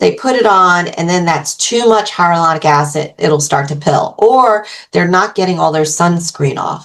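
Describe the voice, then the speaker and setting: A woman speaks in a plain, everyday voice at a fairly low pitch. Her pace is moderate and her pitch variation ordinary. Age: 60s. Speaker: beauty brand co-founder, former makeup artist. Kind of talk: casual interview chat. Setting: podcast interview.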